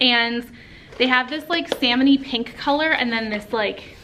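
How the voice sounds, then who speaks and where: Against noticeable background noise, a woman with an American accent speaks in a high pitch with an animated tone. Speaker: teacher and vlogger. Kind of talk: casual vlog talk. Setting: classroom. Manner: animated, chatty.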